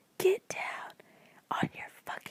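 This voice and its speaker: Speaking very slowly, a woman whispers. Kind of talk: whispered book reading. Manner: whispered.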